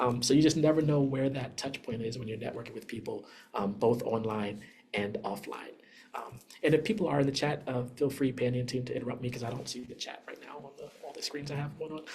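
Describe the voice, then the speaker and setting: A man races along at a very fast pace, his loudness swinging widely while his pitch varies in an ordinary way. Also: medium pitch for a man. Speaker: music producer and composer. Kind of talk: webinar presentation. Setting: video call. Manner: clear.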